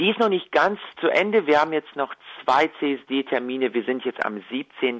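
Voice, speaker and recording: A man in a normal speaking voice talks at a fairly slow pace with lively intonation and fairly high pitch, the sound dry and close with no echo. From Ukraine, moved to Germany at ten. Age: young. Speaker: singer-songwriter and violinist. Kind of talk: interview.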